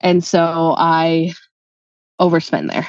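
A woman's voice against a quiet background, dry with no echo. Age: 30s. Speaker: guest seeking money advice; guest. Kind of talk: personal money coaching conversation. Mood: candid, sometimes rueful. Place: home room. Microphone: video call.

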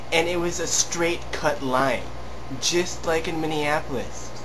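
A man speaks over noticeable background noise. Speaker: vlogger. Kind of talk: casual vlog chat. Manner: tipsy, loose rambling rant. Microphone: phone near.

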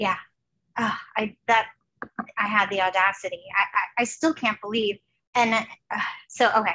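Long, frequent pauses break up a woman's moderate-paced speech in an American accent, her fairly high voice bright and sharp in tone with fairly even intonation. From New Jersey. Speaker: artist and former teacher; former teacher. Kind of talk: casual interview chat. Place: home room. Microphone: headset.

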